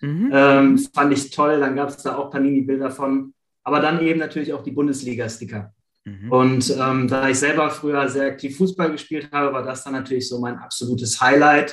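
An unremarkable speaking voice with fairly even intonation at a moderate pace. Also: man, fairly high pitch for a man. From Germany, Ratingen (Rhineland). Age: 40s. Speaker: sticker collector. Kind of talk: casual interview.

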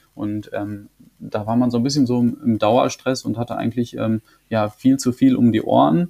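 Delivered at a moderate pace, the voice has a dark, mellow tone and ordinary pitch variation. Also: man, medium pitch for a man. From Germany, Münsterland. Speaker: round-the-world cyclist. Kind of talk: interview. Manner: halting, many fillers.

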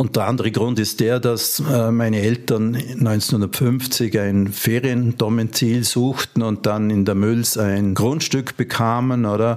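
With noticeable background noise behind him, a man at medium pitch talks very slowly with fairly even intonation, very even loudness and hardly any pauses. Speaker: ski museum founder. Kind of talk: interview. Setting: museum.

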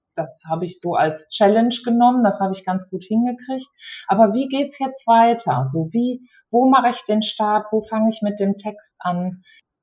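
This is an ordinary speaking voice, from a woman with a fairly high pitch. She speaks at a moderate pace with ordinary pitch variation. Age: 50s. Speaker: geriatric nurse and care home manager turned author. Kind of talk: casual interview.

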